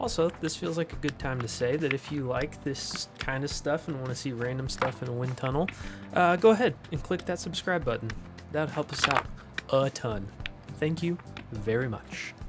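A man speaks at a moderate pace while music plays behind him. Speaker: maker channel host. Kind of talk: casual build tutorial chat. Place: garage.

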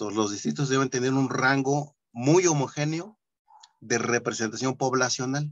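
At a moderate pace, a man talks in a medium pitch with ordinary pitch variation, an unremarkable speaking voice. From Nezahualcóyotl, State of Mexico. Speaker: workshop participant. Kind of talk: discussion. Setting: video call.

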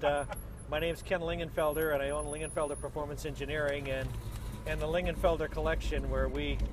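The sound is dry with no echo as a man speaks fairly quickly amid noticeable background noise. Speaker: interviewee. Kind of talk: casual interview chat. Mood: relaxed, cheerful. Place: car. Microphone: camera far.

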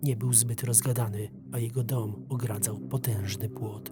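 A man speaks at a fairly slow pace in a fairly low voice with very wide pitch swings. Music plays in the background. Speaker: voice-over narrator. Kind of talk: first-person horror story narration for an animation. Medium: dub.

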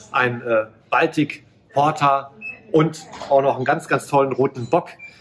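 A man talks with ordinary pitch variation over light background noise. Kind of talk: product presentation to camera. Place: shop. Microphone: phone near.

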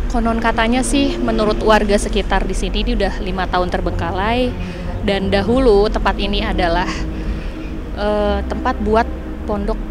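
A woman at a moderate pace, dry with no echo, music in the background. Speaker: TV presenter. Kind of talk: on-location presenter report. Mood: spooky storytelling. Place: open country. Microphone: handheld.

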